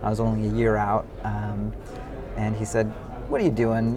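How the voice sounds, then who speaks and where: A man with an American accent at a fairly quick pace, audible room echo and music in the background. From US, San Francisco Bay Area. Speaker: venture capitalist and startup founder. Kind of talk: interview. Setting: conference.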